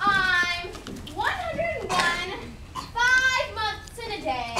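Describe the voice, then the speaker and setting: At a very slow pace, a put-on character voice squeaks along at an extremely high pitch. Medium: stage play. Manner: whimsical, muddled.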